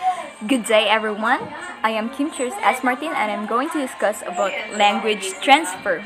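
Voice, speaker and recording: Over music in the background, a woman with a Visayan accent speaks at a moderate pace, her fairly high pitch carried by lively intonation. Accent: Bisaya. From Philippines, Cebuano-speaking region. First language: Bisaya (Cebuano). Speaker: student. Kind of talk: class presentation.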